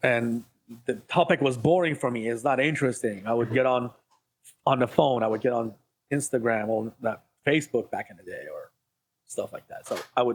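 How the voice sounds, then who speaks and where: A man speaks with an Iranian accent. His delivery has long, frequent pauses. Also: medium pitch for a man, ordinary pitch variation, moderate pace. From Iran, moved to US as a child. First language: Farsi. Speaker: ADHD life coach. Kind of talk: podcast interview.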